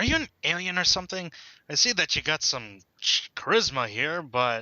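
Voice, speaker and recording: A man uses a put-on character voice, high in pitch. His pitch swings very widely. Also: moderate pace, very even loudness. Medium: solo performance. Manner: blunt, impatient.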